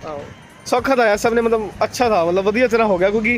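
A man speaks at a fairly quick pace with ordinary pitch variation. Music plays in the background. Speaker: vlogger. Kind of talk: casual vlog chat. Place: street. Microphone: phone near.

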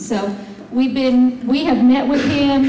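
A woman's voice with audible room echo and light background noise. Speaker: presenter. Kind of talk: public meeting address. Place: hall.

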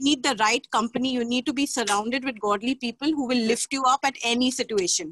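Very fast and with hardly any pauses, a woman speaks at a high pitch with ordinary pitch variation and very even loudness, the sound dry with no echo and light background noise. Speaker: church member. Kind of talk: testimony. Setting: video call. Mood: earnest, faith-filled. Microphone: video call.

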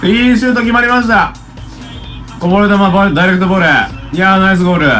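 A man speaking at a very fast pace, high-pitched, with ordinary pitch variation and faint music in the background. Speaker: football tactics commentator. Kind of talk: live-stream match commentary. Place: home room.

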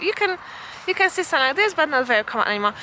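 A woman speaks in a raised, projected voice with very wide pitch swings. Light background noise is present. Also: dry sound with no echo. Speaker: travel vlogger. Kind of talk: casual vlog chat. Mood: cheerful, smiling. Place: open country. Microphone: phone near.

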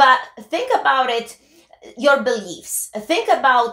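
A woman uses a raised, projected voice at a very slow pace. Audible room echo surrounds her. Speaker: co-host. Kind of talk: talk show commentary. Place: office.

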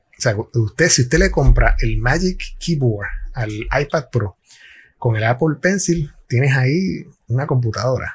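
The voice is somewhat breathy, with lively intonation. It moves at a fairly slow pace. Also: man. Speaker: tech commentator. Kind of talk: casual tech commentary. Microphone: headset.

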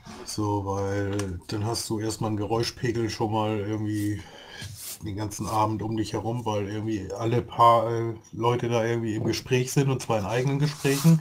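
A man's somewhat breathy voice at a fairly low pitch, with fairly even intonation and a moderate pace. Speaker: gaming podcast co-host. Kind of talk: casual chat.

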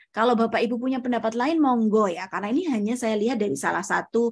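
A woman talks at a very fast pace with a fairly high pitch. Her voice is somewhat breathy, with ordinary pitch variation. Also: quiet background. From Indonesia, Surabaya; East Java, Indonesia. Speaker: researcher and doctoral student; presenter. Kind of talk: lecture. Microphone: video call.

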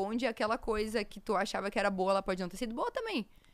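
A very fast pace with ordinary pitch variation. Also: woman. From Rio Grande do Sul interior, Brazil. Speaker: content creator. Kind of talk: casual interview. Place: studio. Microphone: studio mic.

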